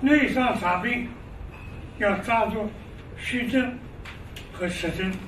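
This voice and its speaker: Very slow and broken by long, frequent pauses, a man's speech carries audible room echo and light background noise. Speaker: traditional Chinese medicine doctor; lecturer on traditional medicine. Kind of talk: lecture. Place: classroom.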